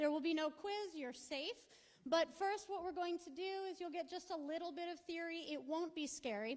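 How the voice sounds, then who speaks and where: A woman speaks loudly in an animated tone, her extremely high pitch showing ordinary variation. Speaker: professor, archaeologist. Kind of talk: lecture.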